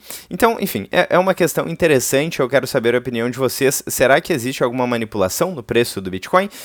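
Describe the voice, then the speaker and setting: A man races along at a very fast pace with hardly any pauses, lively intonation, and a medium pitch. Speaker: crypto YouTuber. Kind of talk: casual commentary video.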